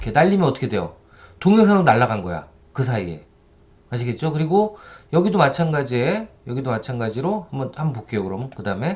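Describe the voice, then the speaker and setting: A man speaks at a very fast pace with vocal fry and very wide swings in pitch. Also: medium pitch for a man. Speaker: university lecturer. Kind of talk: software tutorial lecture. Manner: conversational, rhetorical questions.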